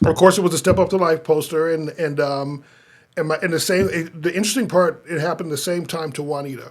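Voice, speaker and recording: Talking at a very fast pace, a man with an American accent uses fairly even intonation at a fairly high pitch. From US Midwest, North Omaha, Nebraska. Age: 50s. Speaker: pastor. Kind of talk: casual chat. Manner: halting, many repetitions and restarts.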